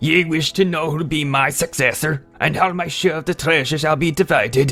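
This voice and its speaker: In a raspy put-on character voice with a fairly high pitch, a man speaks at a moderate pace as faint music plays in the background. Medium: read story. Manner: menacing, commanding.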